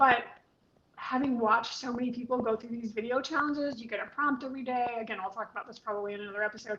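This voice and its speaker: Very fast and with big swings in loudness, a woman with an American accent talks at a high pitch over noticeable background noise. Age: 60s. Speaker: spiritual teacher and video coach. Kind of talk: casual chat. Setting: live video stream. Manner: animated.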